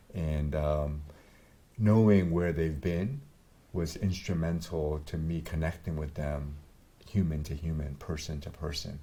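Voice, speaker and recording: The voice has a dark, mellow tone and fairly even intonation at a fairly slow pace. Audible room echo is present. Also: man, very deep, low pitch for a man. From Vietnam. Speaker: doctor. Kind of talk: interview.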